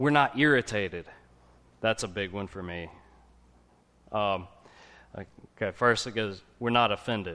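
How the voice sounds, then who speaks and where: A man with a fairly low, bright, sharp voice speaks with big swings in loudness and long, frequent pauses. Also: ordinary pitch variation, moderate pace. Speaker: lay preacher. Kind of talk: sermon. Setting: church. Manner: quiet.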